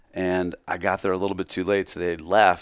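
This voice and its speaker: On a very clean recording with a silent background, a man speaks at a fairly quick pace in a very deep, low pitch with monotone, flat intonation. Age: 50s. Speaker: clothing company founder. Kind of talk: casual chat.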